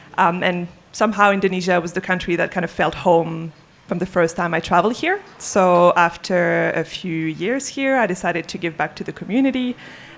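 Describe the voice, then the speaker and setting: A woman with a French accent speaks at a fairly low pitch with ordinary pitch variation. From France. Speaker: entrepreneur in sustainability. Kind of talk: panel discussion. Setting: live event with audience.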